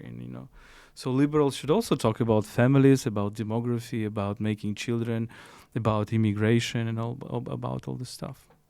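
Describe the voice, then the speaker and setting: A man with a Ukrainian accent speaks at a medium pitch with fairly even intonation, recorded very cleanly against a silent background. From Ukraine. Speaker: philosopher. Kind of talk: interview conversation. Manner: halting, with restarts.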